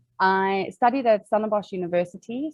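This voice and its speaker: With a South African accent, a woman speaks at a moderate pace and varies her pitch in an ordinary way. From South Africa, Cape Town. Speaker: organizational psychologist. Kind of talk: webinar interview.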